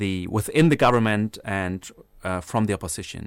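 Speaking at a moderate pace, a man with a German accent talks at medium pitch on a very clean recording with a silent background. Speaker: political science researcher. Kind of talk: radio interview. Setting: studio.

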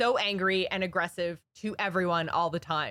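On a very clean recording with a silent background, a woman speaks in a fairly low pitch. Her tone is bright and sharp, the sound dry and close with no echo. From Ireland. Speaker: podcast host. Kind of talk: casual chat.

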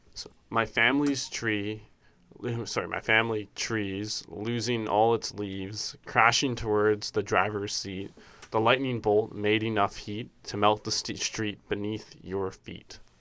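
A man speaks at a fairly slow pace in a fairly low pitch, his bright, sharp tone held to a monotone, flat intonation on a very clean recording with a silent background. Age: 20s. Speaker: student podcast host. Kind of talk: casual chat. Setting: campus radio studio.

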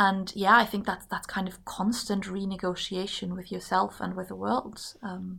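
On a very clean recording with a silent background, a woman of medium pitch speaks at a moderate pace with hardly any pauses, her bright, sharp tone edged with vocal fry and her intonation monotone and flat. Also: big swings in loudness. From Germany. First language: German. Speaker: politics student. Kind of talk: casual chat.

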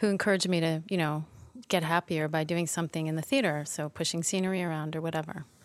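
Talking at a very fast pace, a woman with a Canadian accent keeps fairly even intonation at a fairly low pitch, in a very clean recording with a silent background. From Toronto, Canada. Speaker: lighting designer. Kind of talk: interview conversation. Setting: theatre library.

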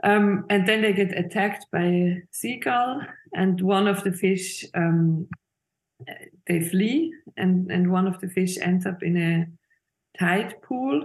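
Somewhat breathy, the speaker talks at a very slow pace with long, frequent pauses. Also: woman, medium pitch for a woman, ordinary pitch variation. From Switzerland, Zurich. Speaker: illustrator and film director. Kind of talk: interview. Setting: video call. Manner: halting.

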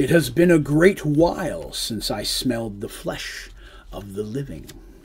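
Clear background noise sits behind a man doing a put-on character voice. His pitch is fairly high and his pace moderate. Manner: ominous.

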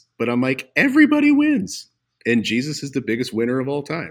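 This is a man with an ordinary speaking voice. His intonation is lively. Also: very clean recording, silent background. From Montana, US. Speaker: pastor. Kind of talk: casual chat.

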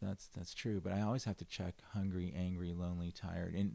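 A man speaks with a Californian accent. His tone is dark and mellow. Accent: Californian American English. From Los Angeles, San Fernando Valley. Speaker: restaurant founder and CEO. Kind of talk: casual interview chat.

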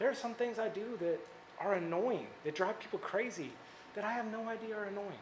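A soft-spoken man's high voice in an American accent, at a fairly quick pace with lively intonation. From Indiana, Indianapolis area. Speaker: campus ministry staff speaker. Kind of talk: sermon. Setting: stage with audience.

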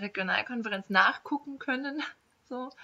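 An ordinary speaking voice from a woman, at a fairly quick pace with ordinary pitch variation. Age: 20s. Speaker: young politician. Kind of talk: casual interview.

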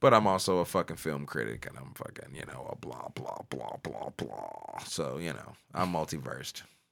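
A man speaks at a moderate pace with a very deep, low pitch and vocal fry. His tone is animated and his intonation lively. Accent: American. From St. Louis, Missouri (North City). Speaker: musician / rapper. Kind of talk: casual chat. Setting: studio.

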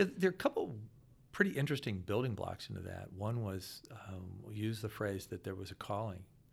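In an American accent, a man with a fairly low, somewhat breathy voice talks at a fairly quick pace with ordinary pitch variation. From US Midwest (Akron, Ohio). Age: 60s. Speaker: financial consultant. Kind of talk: casual interview.

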